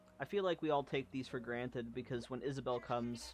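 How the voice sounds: Natural voice, reading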